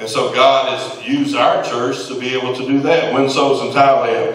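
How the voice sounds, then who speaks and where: A man talks at a moderate pace in a fairly high voice. Room echo is audible. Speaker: preaching pastor. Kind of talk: sermon. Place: church.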